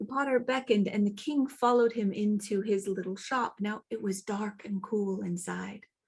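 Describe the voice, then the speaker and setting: A woman's medium-pitched voice comes across as somewhat breathy. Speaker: traditional storyteller. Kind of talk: fairy tale telling.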